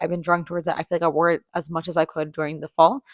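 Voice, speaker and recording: A woman speaks at a fairly low pitch. The sound is dry and close with no echo, over a quiet background. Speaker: lifestyle vlogger. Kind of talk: casual chat. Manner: fast.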